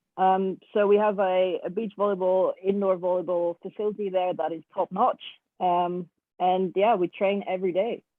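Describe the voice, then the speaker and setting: A woman speaks in a Dutch accent. Her intonation is flat and monotone. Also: medium pitch for a woman, moderate pace. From Netherlands. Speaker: beach volleyball coach. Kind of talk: online webinar interview.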